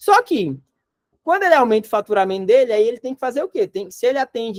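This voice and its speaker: A Rio Grande do Norte accent at a very fast pace. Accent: northeastern Brazilian (potiguar), noticeable. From Northeast Brazil, Natal, Rio Grande do Norte. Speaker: company CEO teaching a business course. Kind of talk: online course lecture. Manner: casual, conversational.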